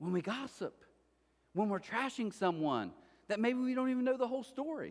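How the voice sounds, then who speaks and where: A loud male voice at a fairly quick pace. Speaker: pastor. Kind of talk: sermon. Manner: fast.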